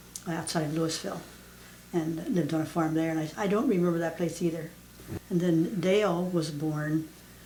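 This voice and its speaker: With an American accent, a woman with a fairly low voice speaks at a moderate pace with fairly even intonation, with audible room echo and noticeable background noise. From southeastern Pennsylvania. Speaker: elderly mother interviewed about family history. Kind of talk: family oral history interview. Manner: halting, many fillers.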